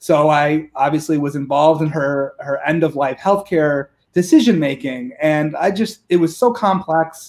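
Over a quiet background, the speaker keeps a moderate pace with ordinary pitch variation and hardly any pauses. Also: man, fairly high pitch for a man. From Rochester, New York. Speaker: politician, state senate candidate. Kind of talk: interview answer. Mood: earnest, personal story. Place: home room. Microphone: video call.

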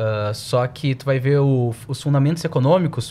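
With a southern Brazilian accent, a man speaks at a moderate pace in a somewhat breathy voice with ordinary pitch variation. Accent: southern Brazilian Portuguese (uses tu). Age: 20s. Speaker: financial analyst. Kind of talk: podcast interview.

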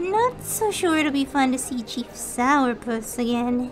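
A female-sounding voice, high-pitched for a woman, performs a put-on character voice at a fairly slow pace over clear music in the background. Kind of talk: audio drama performance.

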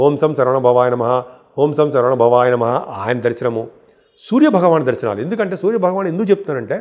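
Lively intonation marks this man's fairly high-pitched speech. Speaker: astrologer. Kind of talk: astrology forecast monologue.

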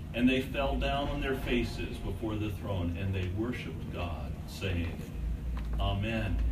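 A man at a moderate pace under loud background noise. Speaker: clergyman. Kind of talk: prayer and scripture reading. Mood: solemn, reverent. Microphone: camera far.

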